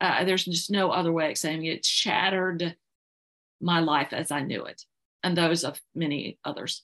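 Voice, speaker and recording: A woman speaks in an unremarkable speaking voice, pitched fairly low. Her intonation is fairly even and her pace moderate. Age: 60s. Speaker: homeschool mother and blogger. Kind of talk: interview answer.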